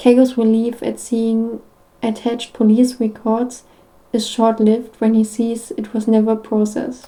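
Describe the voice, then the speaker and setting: Her pitch fairly high but her tone dark and mellow, a woman speaks at a fairly slow pace in a monotone, flat intonation. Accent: non-native. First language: not English. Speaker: podfic reader. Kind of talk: reading aloud. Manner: halting, with stumbles and restarts.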